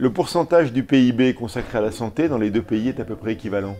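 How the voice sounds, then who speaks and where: Speaking at a fairly quick pace, the man has a medium-pitched, dark, mellow tone and lively intonation. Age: 50s. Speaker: restaurateur, trade union leader. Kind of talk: heated debate. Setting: restaurant.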